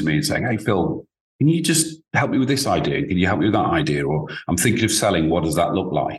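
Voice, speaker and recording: This man has a fairly low voice and a British accent. His pitch swings very widely. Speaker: business advisor, former founder. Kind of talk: interview. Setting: video call.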